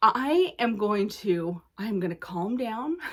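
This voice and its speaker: Her tone is animated. The woman speaks at a medium pitch. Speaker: cross-stitch video blogger. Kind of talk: casual vlog chat.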